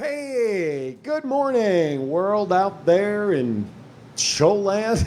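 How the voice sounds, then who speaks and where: At a very slow pace, a man with an American accent speaks at a high pitch with very wide pitch swings. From New Jersey. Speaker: sports collectibles show host. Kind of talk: live talk show. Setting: studio.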